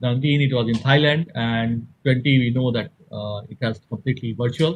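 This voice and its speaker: Somewhat breathy, a man speaks at a medium pitch with fairly even intonation. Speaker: engineer and event organizer. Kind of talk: conference presentation. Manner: fast.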